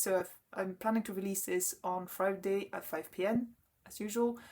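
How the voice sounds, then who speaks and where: A woman with a French accent talks with ordinary pitch variation. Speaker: knitting podcaster. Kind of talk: casual chat. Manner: halting.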